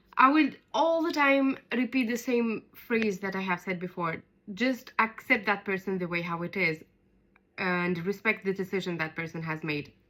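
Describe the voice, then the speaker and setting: With an Arabic accent, a woman speaks at a medium pitch and moderate pace. Her tone is bright and sharp, and her intonation is lively. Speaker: podcast co-host. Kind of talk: casual chat.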